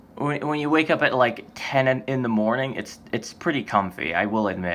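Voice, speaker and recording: Noticeable background noise sits under speech delivered at a moderate pace with lively intonation. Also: man, medium pitch for a man. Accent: American. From United States. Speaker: vlogger. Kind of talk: casual vlog monologue. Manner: halting, many false starts and fillers.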